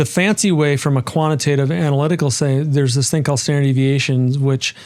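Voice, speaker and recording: In a Minnesotan accent, a man with a fairly high pitch speaks at a very fast pace. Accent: Minnesota. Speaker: investment strategist. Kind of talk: interview. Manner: animated.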